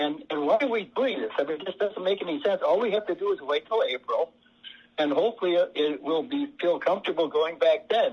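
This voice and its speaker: A man's high-pitched voice with very wide pitch swings at a fairly quick pace. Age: 80s+. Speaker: county board supervisor. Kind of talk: public meeting debate. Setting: virtual meeting. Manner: halting, repetitive.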